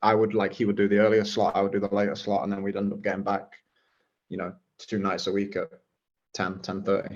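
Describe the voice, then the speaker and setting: A man with an English accent and a fairly low pitch talks very fast in a flat monotone, with long, frequent pauses. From England, Nottingham (Clifton). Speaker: former footballer and football coach. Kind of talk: podcast interview. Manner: hesitant, many fillers.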